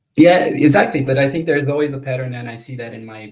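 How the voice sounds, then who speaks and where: A man delivers his words fairly quickly in a normal speaking voice, his pitch varying in an ordinary way. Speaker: podcast host. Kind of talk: interview questions, casual.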